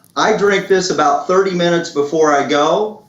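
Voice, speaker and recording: With audible room echo, a man speaks in a high voice with ordinary pitch variation. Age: 60s. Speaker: product promoter. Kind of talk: sales pitch.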